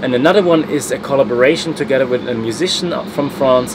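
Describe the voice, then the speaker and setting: Speaking very fast with a German accent, a man shows ordinary pitch variation against noticeable background noise. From Germany. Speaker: travel vlogger. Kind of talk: motivational vlog talk.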